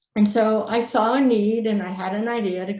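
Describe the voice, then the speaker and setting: A woman speaks in a somewhat breathy voice. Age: 60s. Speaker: native plant propagation expert, nonprofit founder. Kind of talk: presentation.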